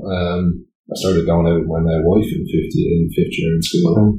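With a dark, mellow tone, this man's voice is somewhat breathy and shows ordinary pitch variation. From Ireland, Greystones, Co. Wicklow. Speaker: charity board member and father. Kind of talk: casual interview. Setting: studio.

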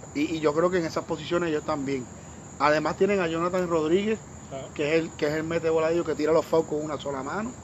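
Very fast speech from a man, fairly even in intonation. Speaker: sports commentator. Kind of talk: casual chat. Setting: at the host's home.

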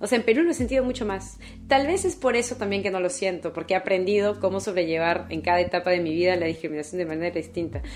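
A woman speaks at a very fast pace with hardly any pauses, her medium-pitched voice carrying lively intonation. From Peru, Callao. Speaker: philosophy researcher. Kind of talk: interview.

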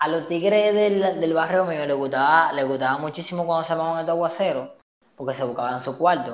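A man with a high voice speaks with a Dominican accent. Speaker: podcast co-host. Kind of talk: casual chat.

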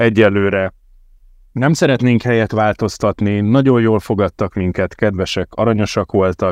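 This man has an ordinary speaking voice, talking at a fairly slow pace with ordinary pitch variation. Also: dry, close sound with no echo. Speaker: podcast host. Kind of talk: casual football podcast chat.

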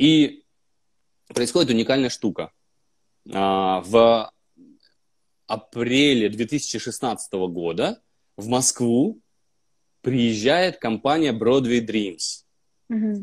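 A medium-pitched man speaks very slowly, with long, frequent pauses. His intonation is lively, and the recording is very clean with a silent background. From Russia, Vologda. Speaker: actor. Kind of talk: casual chat. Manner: animated.

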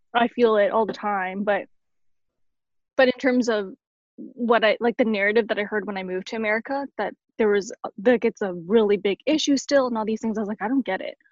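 In a Canadian accent, a plain, everyday voice moves at a fairly quick pace with fairly even intonation, in a dry, close sound with no echo. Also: woman, fairly high pitch for a woman. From Canada. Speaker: blogger and churchgoer. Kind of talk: casual chat.

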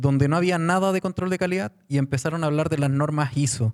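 A man speaks with a Chilean accent. The sound is dry and close, with no echo. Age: 40s. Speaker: construction tech startup founder. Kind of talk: panel discussion.

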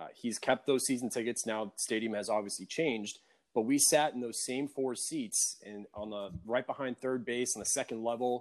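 This man has an ordinary speaking voice and talks at a moderate pace with hardly any pauses. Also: medium pitch for a man, ordinary pitch variation. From New York Tri-State area. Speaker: podcast host. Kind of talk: casual chat.

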